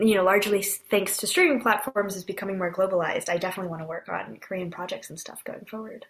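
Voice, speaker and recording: A woman with an American accent speaks at a very fast pace, her pitch medium. Her intonation stays fairly even while her loudness swings widely. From US West Coast, San Francisco Bay Area. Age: 20s. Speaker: comedy writer and performer. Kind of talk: casual interview.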